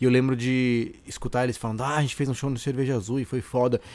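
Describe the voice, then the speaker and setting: This voice belongs to a man. Its pitch is medium. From Brazil, Santos (São Paulo coast). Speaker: comedian and musician, podcast host. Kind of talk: casual solo monologue. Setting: home recording in bedroom. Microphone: condenser studio mic with audio interface.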